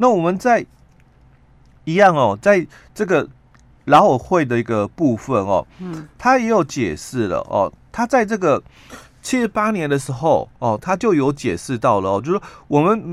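A man with a Taiwanese accent speaks fairly slowly at a fairly high pitch. His pitch swings very widely, broken by long, frequent pauses. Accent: Taiwanese Mandarin. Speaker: labor relations expert. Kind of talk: radio interview explaining labor law. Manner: halting, many filler particles.

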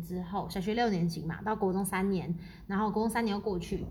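The tone is animated and somewhat breathy. Room echo is audible. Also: woman. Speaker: podcast co-host. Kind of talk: casual chat.

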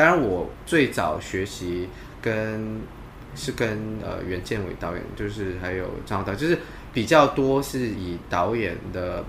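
A man speaks in a normal speaking voice at a fairly low pitch. His pace is fairly slow, and his intonation is lively. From Malaysia. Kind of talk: interview.

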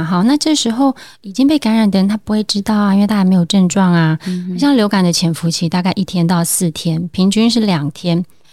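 A woman, somewhat breathy, at a moderate pace. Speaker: family medicine doctor. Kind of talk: interview.

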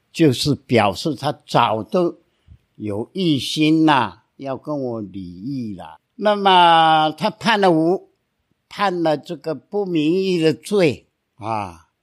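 Very wide pitch swings mark this very slow delivery, recorded very cleanly with a silent background. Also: man, fairly high pitch for a man. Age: 80s+. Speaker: lawyer. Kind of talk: storytelling.

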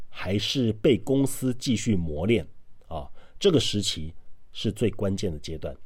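With a dark, mellow tone, a man speaks fairly slowly, his pitch swinging very widely. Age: 40s. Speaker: podcast host, author and former salesperson. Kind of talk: monologue giving career advice.

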